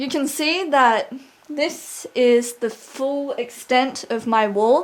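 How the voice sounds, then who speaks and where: A woman with an Australian accent speaks in a high pitch with ordinary pitch variation. Her pace is very slow. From Australia (Sydney). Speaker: video blogger. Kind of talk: casual vlog. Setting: at home, lounge room. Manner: animated.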